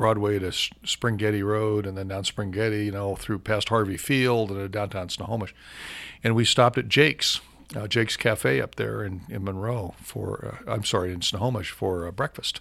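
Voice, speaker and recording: With an ordinary speaking voice, a man speaks at a moderate pace in a fairly low pitch with ordinary pitch variation. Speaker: professional voice user, radio guest. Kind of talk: casual chat. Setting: radio studio.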